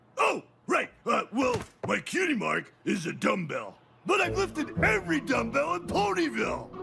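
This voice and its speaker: A man uses a cartoonish character voice. Its pitch is extremely high. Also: moderate pace. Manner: loud, enthusiastic.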